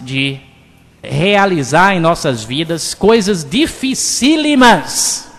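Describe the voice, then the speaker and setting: Noticeable background noise fills the recording. This man's delivery is very slow. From Bahia, Brazil (Cruz das Almas). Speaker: radio host. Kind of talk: radio talk show. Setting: radio studio.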